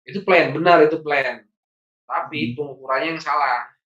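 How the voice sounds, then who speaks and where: A man with a Sundanese accent talks at a fairly quick pace in a fairly high pitch, his tone bright and sharp. His intonation stays fairly even, with audible room echo over a quiet background. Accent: Sundanese-accented Indonesian. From Bandung, West Java, Indonesia; West Java, Indonesia. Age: 40s. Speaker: trainer and consultant; trainer. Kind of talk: training lecture. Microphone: video call.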